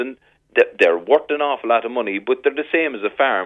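Speaking at a moderate pace, a man talks with a Cork accent. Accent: Irish, Cork. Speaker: fishing industry representative. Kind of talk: radio interview.

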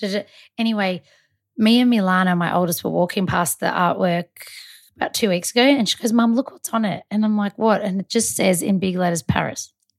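A woman at medium pitch with an Australian accent, talking at a fairly quick pace, in a dry, close sound without echo on a very clean recording with a silent background. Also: ordinary pitch variation. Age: 30s. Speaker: makeup artist. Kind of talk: casual chat.

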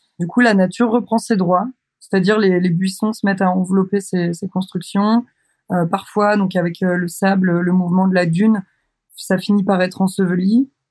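Somewhat breathy, a woman speaks at a medium pitch and moderate pace in monotone, flat intonation. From France, Brittany (Douarnenez, Finistère). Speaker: photographer and visual artist. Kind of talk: interview. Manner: hesitant, many filler sounds.

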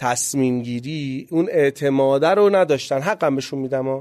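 The voice has a dark, mellow tone and lively intonation. Its pace is moderate. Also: man. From Iran, Gachsaran (Kohgiluyeh and Boyer-Ahmad). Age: 30s. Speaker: startup founder. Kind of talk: interview.

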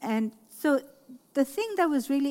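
The woman has a slight Pakistani accent. Her tone is dark and mellow. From Lahore, Pakistan. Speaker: artist and educator. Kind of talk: panel talk with audience, interview. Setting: art fair talk with audience.

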